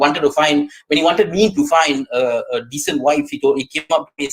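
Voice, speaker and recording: A man with an Indian accent, lively intonation and a fairly quick pace. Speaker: stand-up comedian.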